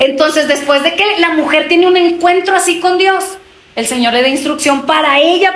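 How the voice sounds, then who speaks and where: Audible room echo and noticeable background noise accompany a woman speaking at a moderate pace with ordinary pitch variation. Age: 30s. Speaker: preacher. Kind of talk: sermon.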